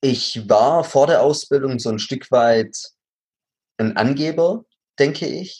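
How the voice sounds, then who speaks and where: A man with a slight Swabian accent speaks with ordinary pitch variation and long, frequent pauses. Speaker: actor and acting coach. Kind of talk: interview.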